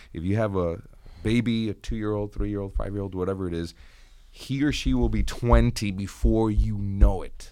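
The intonation is lively. A man's voice carries a dark, mellow tone. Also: fairly low pitch for a man, moderate pace. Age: 40s. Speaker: radio executive. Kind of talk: radio panel discussion. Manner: halting.

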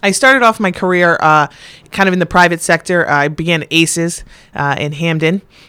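With an American accent, a woman talks at a moderate pace in a fairly low pitch, her tone bright and sharp and her pitch variation ordinary. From Connecticut, North Branford. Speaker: school principal. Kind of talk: interview.

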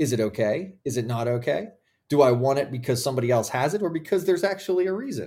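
A very fast, somewhat breathy voice with a dark, mellow tone, lively intonation and an American accent. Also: man, fairly high pitch for a man. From Philadelphia. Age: 40s. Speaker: lawyer. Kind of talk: casual chat.

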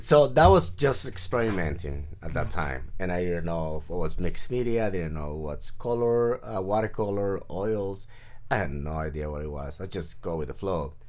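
A man with a Spanish accent speaks in a very deep, low voice with lively intonation and hardly any pauses. Audible room echo surrounds him. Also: moderate pace. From Mexico, Nayarit coast. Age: 40s. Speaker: artist. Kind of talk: casual interview chat.

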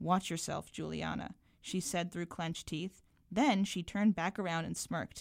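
At a moderate pace and with ordinary pitch variation, a speaker with an American accent and vocal fry is captured in a very clean recording with a silent background. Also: woman. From Massachusetts (Belmont, Boston area). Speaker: writer and filmmaker. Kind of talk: reading aloud. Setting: studio.

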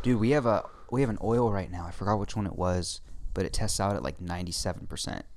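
In an animated tone, a man talks at a very fast pace with vocal fry and ordinary pitch variation, and audible room echo around him. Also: fairly low pitch for a man. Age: 20s. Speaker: podcast co-host. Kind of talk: casual chat.

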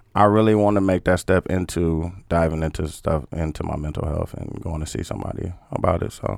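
Very deep and low, this man's voice moves at a fairly quick pace. He takes hardly any pauses and shows ordinary pitch variation. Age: 30s. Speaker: podcast co-host and media producer. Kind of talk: casual interview about mental health. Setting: studio. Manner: halting.

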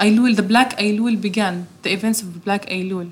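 Her voice is somewhat breathy, a woman's at a fairly high pitch. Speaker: interpreter. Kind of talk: live interpreting.

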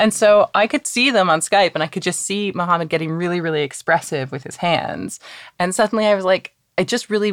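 Talking at a fairly quick pace in a Canadian accent, a woman uses an ordinary speaking voice at medium pitch with lively intonation. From Canada. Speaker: playwright and dialogue director. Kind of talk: casual chat.

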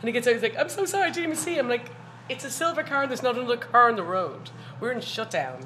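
A high-pitched woman with a Dublin accent, very fast, with very wide pitch swings and noticeable background noise. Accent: Dublin Irish. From Dublin, Ireland. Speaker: bartender. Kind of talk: casual chat.

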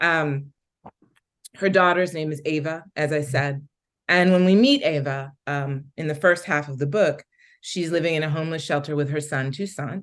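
A woman's very deep, low voice with an American accent, fairly even intonation and a moderate pace against a quiet background. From Philadelphia, US. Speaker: novelist. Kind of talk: author interview. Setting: video call.

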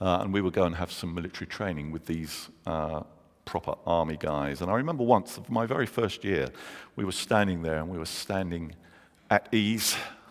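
This man speaks with a London accent at a very deep, low pitch. His pace is fairly quick, and his pitch varies an ordinary amount. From London, England. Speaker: pastor. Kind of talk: sermon.

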